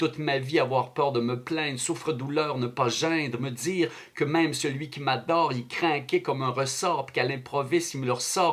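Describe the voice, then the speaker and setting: Moderate pace, hardly any pauses and fairly even intonation in a Quebec accent, with noticeable background noise. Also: man, fairly high pitch for a man. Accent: Québécois French. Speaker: slam poet. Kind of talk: slam poetry performance.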